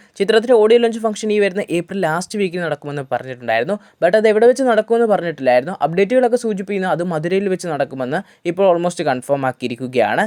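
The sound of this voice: The speech runs at a fast pace with few pauses, lively intonation and a slightly mellow tone.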